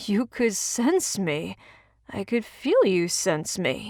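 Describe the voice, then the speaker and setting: A woman uses a put-on character voice, raspy and at medium pitch, speaking at a very slow pace. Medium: read story. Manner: slurring his R's.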